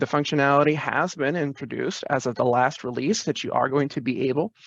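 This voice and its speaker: The man's voice sounds dry with no echo, over a quiet background. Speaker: IT staff presenter; presenter. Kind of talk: virtual presentation with Q&A. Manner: fast. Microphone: webcam.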